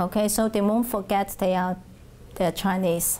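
A woman with a Hong Kong accent at a moderate pace, over light background noise. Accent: Hong Kong Cantonese-accented English. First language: Cantonese. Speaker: Cantonese language teacher. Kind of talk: oral history interview answer. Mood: calm, reflective. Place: classroom. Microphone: lapel.

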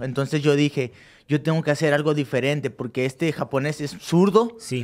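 A man with a Mexican accent talks at a fairly quick pace in a fairly high pitch, with ordinary pitch variation and a quiet background. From Mexico (Cancún); Mexico. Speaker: professional boxer; guest. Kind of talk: casual interview. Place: studio. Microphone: studio mic.

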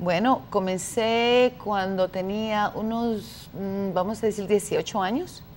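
A woman speaks at a very slow pace with fairly even intonation. There is light background noise. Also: medium pitch for a woman. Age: 50s. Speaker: activist; talk show guest. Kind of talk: debate. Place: studio. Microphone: lapel.

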